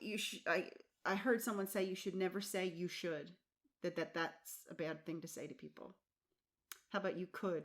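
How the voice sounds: With an American accent and a medium pitch, a woman speaks at a moderate pace with ordinary pitch variation and long, frequent pauses.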